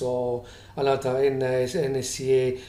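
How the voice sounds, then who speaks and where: The man's voice sits at a medium pitch, with audible room echo around it. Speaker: vlogger with employment tribunal grievance. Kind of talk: complaint video monologue. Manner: halting, many fillers and restarts.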